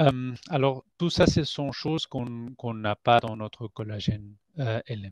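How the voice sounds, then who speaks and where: A man's medium-pitched voice at a fairly slow pace, with ordinary pitch variation and big swings in loudness, the sound dry and close with no echo over a quiet background. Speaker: scientist at a collagen producer. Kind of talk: product presentation. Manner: halting, many hesitations. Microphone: microphone problem.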